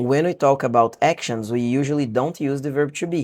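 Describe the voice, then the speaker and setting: The speaker talks in a Brazilian accent with ordinary pitch variation. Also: man. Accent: Brazilian accent in some English words. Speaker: English teacher. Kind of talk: online lesson.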